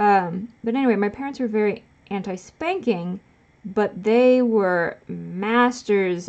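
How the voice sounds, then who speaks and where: Speaking very slowly, a woman with an American accent uses a medium pitch and ordinary pitch variation. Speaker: live streamer. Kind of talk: casual chat. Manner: casual, halting with restarts.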